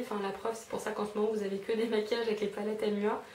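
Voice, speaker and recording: A woman talks very fast in a fairly high pitch with monotone, flat intonation. Audible room echo and noticeable background noise surround her. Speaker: beauty vlogger. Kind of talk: casual haul video monologue. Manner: hesitant, many fillers.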